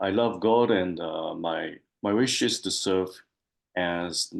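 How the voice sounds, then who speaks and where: Delivered at a very slow pace with long, frequent pauses, this voice has a Japanese accent and ordinary pitch variation. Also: man. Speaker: spiritual seeker. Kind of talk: interview. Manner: halting, many fillers.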